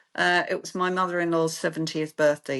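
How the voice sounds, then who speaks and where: A woman talks with a London accent against a quiet background. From London, England. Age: 60s. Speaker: clinic founder, therapist. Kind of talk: interview.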